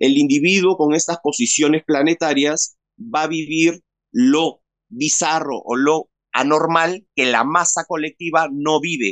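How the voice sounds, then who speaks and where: Speaking at a fairly slow pace with a Peruvian accent, a man has a fairly high pitch and ordinary pitch variation over a quiet background. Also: dry sound with no echo. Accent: Peruvian Spanish (Lima). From Peru, Lima. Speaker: interview guest. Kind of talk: personal testimony in an interview. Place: home room. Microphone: phone near.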